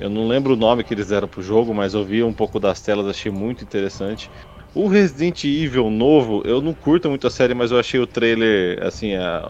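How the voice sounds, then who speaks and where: A normal speaking voice at a fairly quick pace with ordinary pitch variation. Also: man. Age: middle-aged. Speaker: podcast co-host. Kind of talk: casual chat.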